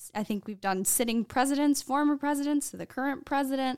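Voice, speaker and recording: In a very clean recording with a silent background and a dry, close sound with no echo, a woman speaks at a high pitch with ordinary pitch variation. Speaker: journalist. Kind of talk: casual chat. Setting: studio.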